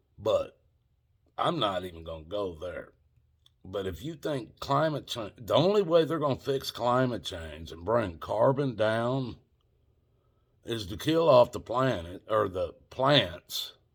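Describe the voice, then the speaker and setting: The voice swings very widely in pitch and in loudness, with vocal fry and a fairly slow pace. The recording is very clean, with a silent background. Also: man, medium pitch for a man. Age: 60s. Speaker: video blogger. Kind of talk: casual rant to camera. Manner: repetitive.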